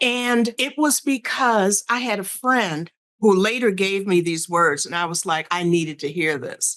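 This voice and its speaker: A woman speaks in a plain, everyday voice at a medium pitch. Her pace is fairly slow, with hardly any pauses. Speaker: sales strategist and speaker. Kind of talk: interview.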